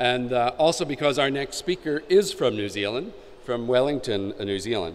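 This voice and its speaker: A man talks in an American accent at a medium pitch. Noticeable background noise runs underneath. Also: moderate pace. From United States. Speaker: conference moderator. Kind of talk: event introduction. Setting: conference stage with audience. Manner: halting, many fillers.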